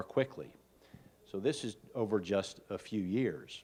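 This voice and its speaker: A man with an American accent, ordinary pitch variation, and a quiet background. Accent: regional US accent, noticeable to locals. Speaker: hospitalist physician, conference speaker. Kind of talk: conference talk. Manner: slow.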